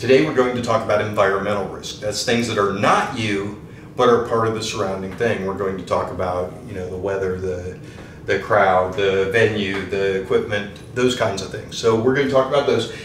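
Light background noise and audible room echo accompany a man's fairly low voice. He talks at a moderate pace with fairly even intonation. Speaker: pool instructor. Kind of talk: tutorial. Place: home room.

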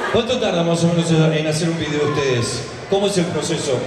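A man with a fairly high pitch and ordinary pitch variation is heard over noticeable background noise, with audible room echo. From Argentina. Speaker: event panel interviewer. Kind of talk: live stage interview. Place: stage. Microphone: pa.

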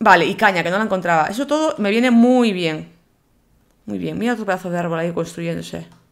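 A woman talks at a very fast pace in an animated tone with lively intonation. Her pitch is medium. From Galicia, Spain (Vigo). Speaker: gaming YouTuber. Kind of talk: gameplay commentary.

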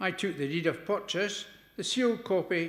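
Audible room echo carries the voice of a man. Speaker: lay scripture reader. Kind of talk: scripture reading. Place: church. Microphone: podium.

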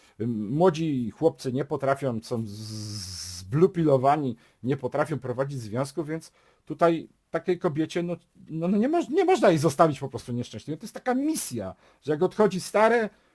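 Somewhat breathy and fairly high-pitched, a man is heard on a very clean recording with a silent background and a dry, close sound with no echo. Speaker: YouTuber giving relationship advice. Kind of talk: casual monologue vlog.

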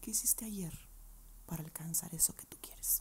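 A soft-spoken woman talks at a moderate pace. Light background noise can be heard. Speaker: advice vlogger. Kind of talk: casual vlog chat answering viewer questions. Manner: soft, close-mic ASMR speaking. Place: home room. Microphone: earbuds.

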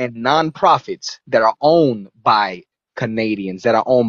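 Speaking fairly slowly, a man uses an animated tone and lively intonation. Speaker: livestream call-in guest. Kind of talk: impassioned speech.

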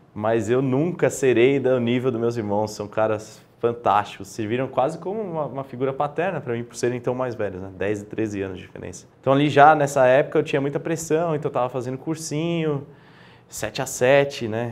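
A man at a fairly quick pace, with ordinary pitch variation and big swings in loudness. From Brazil, São Paulo. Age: 20s. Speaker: guest, illness survivor; interview guest. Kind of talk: interview conversation. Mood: relaxed, reflective. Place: studio. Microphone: lapel.

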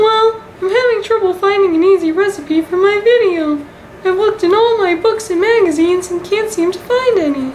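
In a put-on character voice, squeaky and extremely high, the speaker goes at a moderate pace over clear background noise. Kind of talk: comic web sketch acting. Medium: comedy sketch. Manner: cheerful, naive, wondering.

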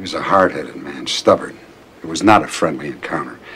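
Doing a put-on character voice, a man speaks at a fairly quick pace with an extremely low pitch, a fairly bright tone and lively intonation.

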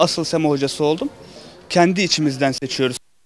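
In an ordinary speaking voice, a man with a fairly high pitch talks at a fairly quick pace with fairly even intonation, over light background noise in a dry sound with no echo. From Turkey (Sivas roots); Turkey. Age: young. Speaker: semah teacher at a cemevi. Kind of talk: interview. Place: street. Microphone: handheld.

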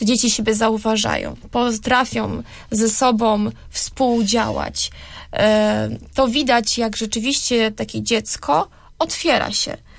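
A woman talks very slowly over a quiet background. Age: young. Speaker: radio guest. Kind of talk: radio interview. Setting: radio studio. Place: studio.

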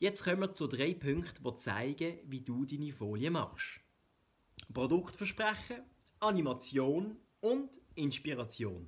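With a Swiss German accent, a man speaks very slowly at a fairly high pitch, his voice showing vocal fry and very wide pitch swings. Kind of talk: explainer video narration.

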